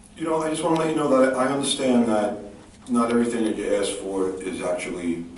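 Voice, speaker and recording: Over noticeable background noise and audible room echo, a man with an American accent and medium pitch speaks at a fairly quick pace. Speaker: resident speaking at town meeting. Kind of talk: public comment at town meeting. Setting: town hall meeting. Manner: loud; halting, repeats words.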